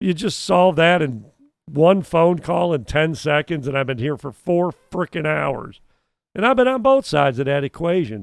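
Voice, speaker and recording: Lively intonation comes at a moderate pace in a very clean recording with a silent background. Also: man, fairly high pitch for a man. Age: 60s. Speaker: co-host, air conditioning service technician. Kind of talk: casual chat. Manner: animated.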